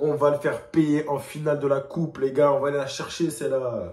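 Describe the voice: With a slightly mellow tone and little pitch movement, a man speaks fairly quickly in a fairly high voice.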